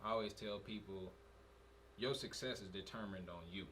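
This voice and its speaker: Over noticeable background noise and audible room echo, a man speaks at a moderate pace with a fairly low pitch. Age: 20s. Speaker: podcast co-host. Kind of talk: casual chat.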